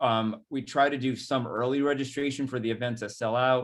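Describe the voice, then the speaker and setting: A man with a Rhode Island accent, medium pitch, fairly even intonation and a moderate pace. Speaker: executive director of a nonprofit. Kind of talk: presentation. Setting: webinar video call.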